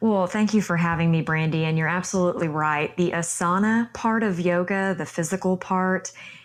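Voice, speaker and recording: A woman with a Texan accent and fairly low pitch keeps a moderate pace with hardly any pauses, very even loudness and fairly even intonation. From Texas. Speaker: yoga instructor. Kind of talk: interview.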